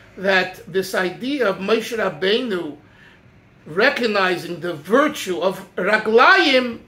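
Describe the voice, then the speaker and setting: High-pitched male speaking voice. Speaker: religious teacher. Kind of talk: lecture. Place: home room. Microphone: phone near.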